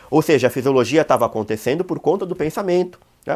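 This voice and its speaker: This very clean recording has a silent background. A man talks at a very fast pace with a fairly high pitch. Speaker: online course teacher on OCD. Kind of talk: lecture. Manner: casual, colloquial.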